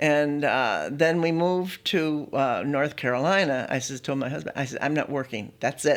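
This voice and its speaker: A woman speaks with a very deep, low pitch. The recording is very clean, with a silent background. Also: ordinary pitch variation, moderate pace. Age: 80s+. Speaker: retiree. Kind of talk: casual chat.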